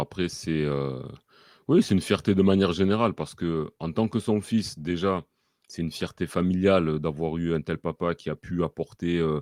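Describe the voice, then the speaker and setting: Against a quiet background in a dry, close sound with no echo, a man with a very deep, low pitch speaks at a moderate pace with ordinary pitch variation. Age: 40s. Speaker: football fan, son of a former club president. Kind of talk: interview. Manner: hesitant, many fillers.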